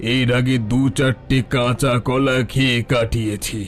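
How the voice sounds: Clear music plays behind a man doing a cartoonish character voice. He sits at a medium pitch and moves at a fairly slow pace.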